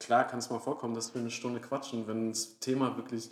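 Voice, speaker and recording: A man speaks at a medium pitch. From Franconia, Germany (Würzburg area). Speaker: band musician, podcast co-host. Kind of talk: casual chat. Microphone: quieter, sits farther from the mic.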